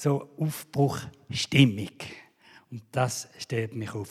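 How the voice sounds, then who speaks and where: Speaking with a Swiss accent, this man has a somewhat breathy voice and ordinary pitch variation. He goes at a very slow pace. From Switzerland. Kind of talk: sermon.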